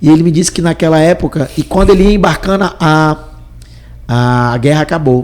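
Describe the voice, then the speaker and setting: Noticeable background noise behind a man speaking at a fairly high pitch. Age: young. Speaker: entrepreneur. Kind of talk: interview.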